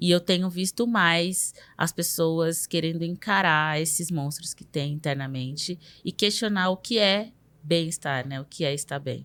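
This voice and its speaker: In an ordinary speaking voice, a woman speaks at a fairly slow pace and a fairly low pitch with ordinary pitch variation, on a very clean recording with a silent background. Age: 30s. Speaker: journalist. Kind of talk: casual interview conversation.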